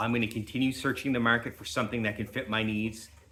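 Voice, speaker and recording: His tone is bright and sharp, as this man speaks at a fairly low pitch with fairly even intonation. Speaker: YouTuber and homesteader. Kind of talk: product review vlog. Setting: indoor office. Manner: loud.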